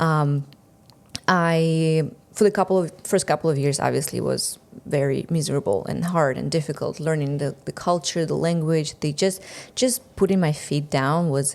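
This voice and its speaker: A woman speaks with a Russian accent at a very deep, low pitch. The recording is very clean, with a silent background. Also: ordinary pitch variation, moderate pace. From Russia, Siberia. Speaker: entrepreneur, marketing coach. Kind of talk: podcast interview. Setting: studio.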